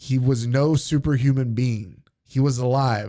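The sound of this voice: An unforced reading voice moves with fairly even intonation over a quiet background.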